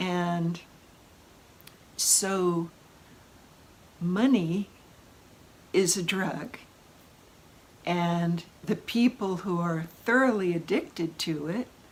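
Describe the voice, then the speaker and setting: This woman talks at a very slow pace, leaving long, frequent pauses. Her pitch is fairly low, with ordinary variation. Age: 70s. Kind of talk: casual talk to camera. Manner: animated.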